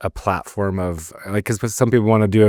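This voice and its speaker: Fairly low pitch from a man, with a dark, mellow tone, fairly even intonation, and a fairly quick pace. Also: very clean recording, silent background. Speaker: podcast host. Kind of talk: casual interview chat. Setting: studio. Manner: calm, soft-spoken. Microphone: close to the mic.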